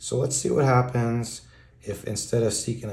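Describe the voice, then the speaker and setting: Somewhat breathy, a man speaks at a fairly low pitch and a moderate pace with a dark, mellow tone. Audible room echo is present. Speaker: math tutor on video channel. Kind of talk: tutorial. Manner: casual.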